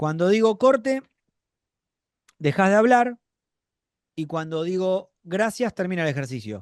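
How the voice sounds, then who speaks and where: Using lively intonation, a high-pitched man speaks at a fairly slow pace with long, frequent pauses. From Buenos Aires, Argentina. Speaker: acting teacher. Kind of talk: online acting class.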